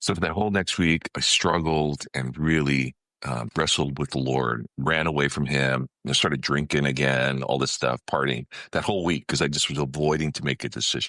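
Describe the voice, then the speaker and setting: A very deep, low male voice, its intonation fairly even. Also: moderate pace, dry, close sound with no echo. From California, US. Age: 60s. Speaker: ministry leader and consultant. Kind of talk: testimony. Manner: frequent fillers and restarts.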